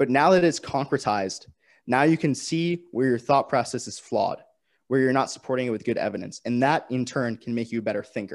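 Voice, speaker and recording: In a plain, everyday voice with an American accent, a man speaks at a medium pitch and a fairly quick pace. His pitch varies in an ordinary way, and the recording is very clean with a silent background. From Vermont, US. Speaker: strength and conditioning writer and editor. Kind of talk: casual interview chat, storytelling.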